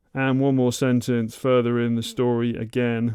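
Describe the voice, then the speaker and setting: Flat, monotone intonation marks this man's speech. He keeps a moderate pace. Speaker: YouTuber learning Japanese. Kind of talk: tutorial. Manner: halting.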